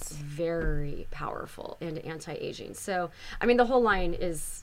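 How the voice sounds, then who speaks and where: A woman's voice rises and falls a great deal in loudness, with audible room echo around it. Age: 40s. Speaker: skincare company founder. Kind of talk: casual chat. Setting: studio.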